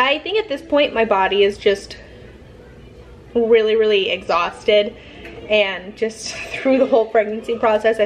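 A woman speaks at a moderate pace in a weary tone. There is light background noise. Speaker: vlogger. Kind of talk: casual vlog chat. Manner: weary, worn-out late-pregnancy voice. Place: home room. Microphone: phone near.

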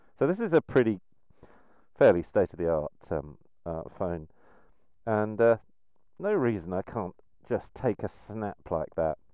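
A man's dark, mellow voice, fairly slow with long, frequent pauses, dry with no echo against a quiet background. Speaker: motorcycle photography vlogger. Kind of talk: tutorial. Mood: relaxed, cheerful. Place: open country. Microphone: phone near.

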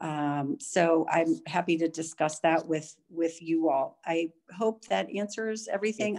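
With an American accent and an ordinary speaking voice, a woman speaks at a fairly slow pace and fairly low pitch, with ordinary pitch variation, hardly any pauses and a quiet background. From United States. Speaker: diplomat. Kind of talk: panel discussion. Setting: video call. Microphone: video call.

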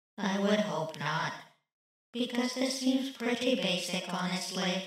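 A female-sounding voice does a cartoonish character at medium pitch. It moves at a fairly slow pace with strong echo. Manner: sarcastic, deadpan.

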